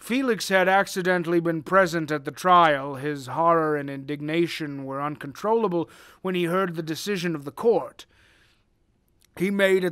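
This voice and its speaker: A man puts on a character voice at a fairly high pitch. He speaks at a moderate pace in a very clean recording with a silent background. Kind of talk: dramatic reading of gothic prose. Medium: read story. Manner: formal, measured.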